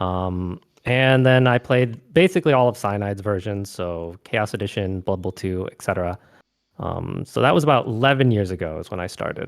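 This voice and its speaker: A man with a normal speaking voice and an American accent talks at a moderate pace and fairly low pitch, with ordinary pitch variation. His loudness swings a lot on a very clean recording with a silent background. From US West Coast. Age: young. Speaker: gamer and streamer. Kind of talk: casual chat.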